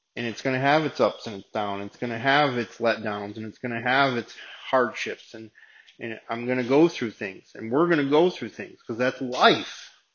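At a moderate pace, a man speaks in an ordinary speaking voice. His pitch is medium, with ordinary variation. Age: 40s. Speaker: recovery ministry leader. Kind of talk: sermon. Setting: meeting room with audience.

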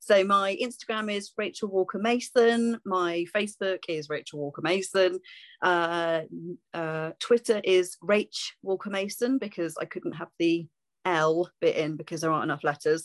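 A medium-pitched woman speaks in a southern English accent with ordinary pitch variation. Her moderate pace is captured in a dry, close sound with no echo. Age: 40s. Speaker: singer-songwriter and vocal teacher. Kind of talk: interview. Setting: video call.

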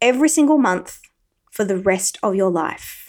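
A woman speaks in an unremarkable speaking voice at a fairly slow pace. Her pitch sits fairly high, with lively intonation. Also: very clean recording, silent background. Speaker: podcast host. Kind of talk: solo motivational talk with a guided visualization segment. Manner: slow, calm, coaxing pace in the visualization, with pauses and repeated phrases; warm, encouraging, conversational.

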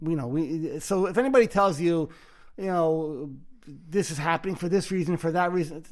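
A man talks at a fairly quick pace in a Brooklyn accent. His pitch varies in an ordinary way. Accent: New York (Brooklyn). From Brooklyn, New York. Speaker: podcast host, mindfulness teacher. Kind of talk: guided meditation; casual chat. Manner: halting.

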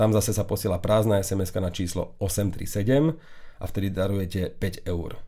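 A man with a plain, everyday voice speaks at a fairly slow pace in a fairly low pitch, with ordinary pitch variation. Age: 30s. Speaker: tech podcast host. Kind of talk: casual chat. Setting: studio. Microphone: new microphone setup.

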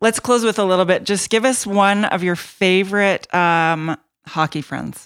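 A woman speaks with a western Canadian accent at a medium pitch with ordinary pitch variation. The recording is very clean, with a silent background. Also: moderate pace. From Canada, Edmonton. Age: 40s. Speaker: podcast co-host, hockey wife. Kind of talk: casual podcast chat.

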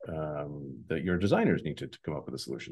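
A man with an American accent talks at a fairly quick pace, his voice showing vocal fry. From New York (emigrated from Soviet Union at 8). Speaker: tech entrepreneur. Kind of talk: interview.

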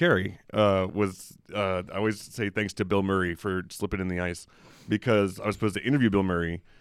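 In a normal speaking voice, a man with an American accent talks at a moderate pace, fairly low in pitch and fairly even in intonation. The recording is very clean, with a silent background. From US South, Memphis. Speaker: film critic. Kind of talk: casual chat.

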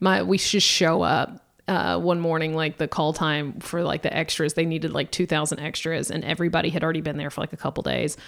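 Speaking with an American accent, a woman uses a very deep, low pitch with vocal fry, fairly even intonation and a fairly quick pace with hardly any pauses. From US South, Georgia. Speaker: comedian. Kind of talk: casual chat.

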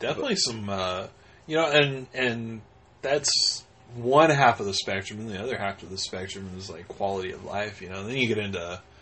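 The speech moves at a fairly quick pace, with big swings in loudness and ordinary pitch variation. Noticeable background noise sits behind it. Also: man, fairly low pitch for a man. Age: 30s. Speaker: podcast co-host. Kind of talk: casual chat.

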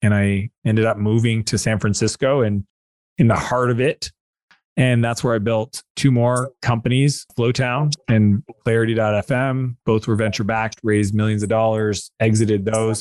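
A man with an ordinary speaking voice talks at a medium pitch and moderate pace, with fairly even intonation and very even loudness. The sound is dry and close, with no echo. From Canada. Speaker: entrepreneur and author. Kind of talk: interview conversation.

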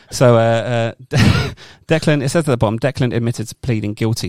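The speaker gives a plain reading aloud.

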